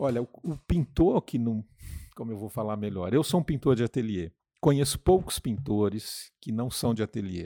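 A man's dark, mellow tone at a moderate pace, with a dry, close sound and no echo. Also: medium pitch for a man, very clean recording, silent background. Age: 60s. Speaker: painter. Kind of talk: interview.

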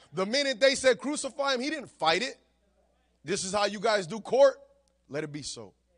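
A man speaks in a high voice at a moderate pace. His tone is animated and his intonation lively. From United States, Puerto Rican family. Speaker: pastor. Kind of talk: sermon. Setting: church.

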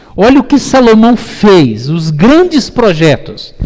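Speaking at a very slow pace, a man with a high pitch and a dark, mellow tone makes very wide pitch swings. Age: 50s. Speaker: pastor. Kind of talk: sermon.

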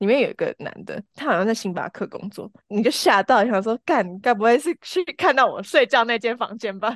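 A woman with an unremarkable speaking voice talks at a moderate pace with hardly any pauses, a fairly high pitch and lively intonation, in a dry, close sound with no echo and a quiet background. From Taiwan, Changhua and Taichung. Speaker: marketing professional, podcast guest. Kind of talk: casual chat.

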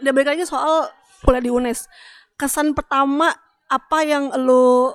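With fairly even intonation, the voice comes across in a dry, close sound with no echo. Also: woman. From Greater Jakarta area. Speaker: podcast co-host. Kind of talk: casual chat.

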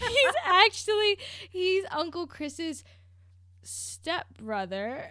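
Woman's raised, projected voice at an extremely high pitch, bright and sharp in tone, with very wide pitch swings and a very slow pace. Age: 20s. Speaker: book publicist. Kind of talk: casual chat.

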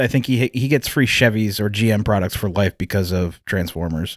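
Recorded very clean against a silent background with a dry, close sound and no echo, a man speaks in a normal speaking voice at a moderate pace with lively intonation. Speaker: podcast co-host. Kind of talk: casual banter.

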